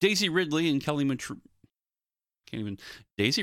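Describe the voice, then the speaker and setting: A man speaks in an animated tone with lively intonation. The recording is very clean, with a silent background. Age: 40s. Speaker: podcast host. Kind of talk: solo commentary monologue.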